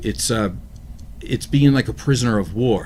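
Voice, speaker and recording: A man talks at a moderate speed in an unremarkable speaking voice, his medium pitch varying in an ordinary way. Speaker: talk show co-host. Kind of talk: casual discussion.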